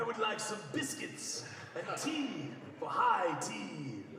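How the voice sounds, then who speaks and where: A man puts on a character voice and speaks at a very slow pace amid strong echo and loud background noise. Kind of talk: pompous, royal.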